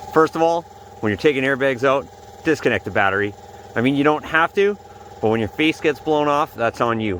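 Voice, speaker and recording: Against noticeable background noise, a man talks at a fairly quick pace with a fairly high pitch and lively intonation. He leaves long, frequent pauses. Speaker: DIY mechanic vlogger. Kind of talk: tutorial. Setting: outdoors in the cold. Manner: casual.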